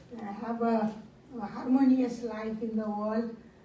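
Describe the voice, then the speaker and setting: A woman talks in a monotone with flat intonation. Room echo is audible. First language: not English. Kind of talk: panel talk. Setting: conference side event. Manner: halting.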